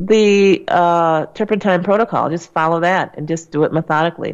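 A woman has a plain, everyday voice pitched fairly low, with fairly even intonation. She talks at a moderate pace against a quiet background. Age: 60s. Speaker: radio health host and doctor. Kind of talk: call-in radio show.

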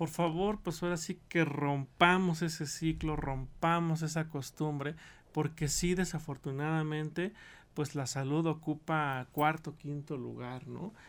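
This man has a normal speaking voice, talking at a fairly slow pace with fairly even intonation. The recording is very clean, with a silent background. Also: fairly high pitch for a man. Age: 40s. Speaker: medical doctor. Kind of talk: radio interview. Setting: radio studio.

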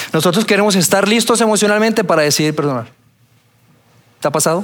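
This is a man speaking. His pace is fairly quick. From Colombia, Bogotá. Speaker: pastor. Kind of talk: sermon. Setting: church auditorium with audience.

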